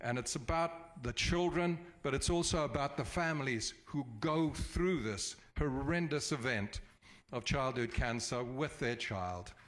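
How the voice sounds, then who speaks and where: On a very clean recording with a silent background, a man with an unremarkable speaking voice and fairly high pitch talks at a fairly slow pace with lively intonation. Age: 60s. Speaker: charity event organizer. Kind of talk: public meeting address.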